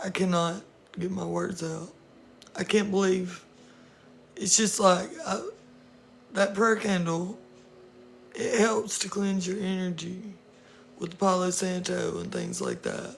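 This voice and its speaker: Someone talks at a fairly slow pace with long, frequent pauses, and noticeable background noise runs underneath. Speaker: tarot reader. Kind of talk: live stream chat. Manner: casual.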